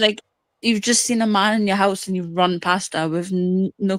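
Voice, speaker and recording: On a very clean recording with a silent background and a dry, close sound with no echo, a woman speaks at a medium pitch and a moderate pace in a monotone, flat intonation. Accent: English. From northern England, near the Scottish border. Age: 20s. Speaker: caller. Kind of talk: casual chat.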